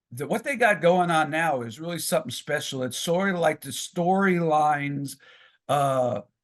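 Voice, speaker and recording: A man talks at a moderate pace with ordinary pitch variation and an ordinary speaking voice, over a quiet background. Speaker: professional wrestling ring announcer and author. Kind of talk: podcast interview answer.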